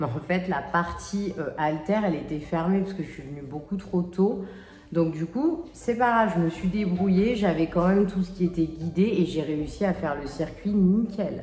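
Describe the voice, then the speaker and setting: With music in the background and audible room echo, the speech moves at a fairly slow pace with ordinary pitch variation. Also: woman. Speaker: fitness coach and vlogger. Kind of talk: casual vlog. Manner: soft-spoken.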